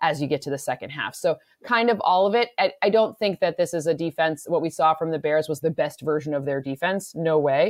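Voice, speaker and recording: With an American accent, a woman talks fairly quickly in an unremarkable speaking voice, fairly low in pitch with ordinary pitch variation. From US Midwest, Michigan. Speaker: football analyst, podcast co-host. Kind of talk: casual sports analysis chat.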